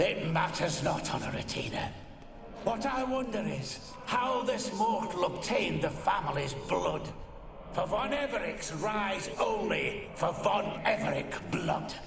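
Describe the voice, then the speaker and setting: A man uses a put-on character voice at a high pitch and a fairly slow pace. There is a clear echo and loud background noise. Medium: machinima.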